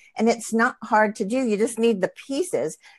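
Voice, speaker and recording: In a normal speaking voice, a woman with a fairly high pitch talks at a moderate pace, the sound dry and close with no echo. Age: 60s. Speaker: integrative cancer practitioner and acupuncturist. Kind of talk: interview conversation.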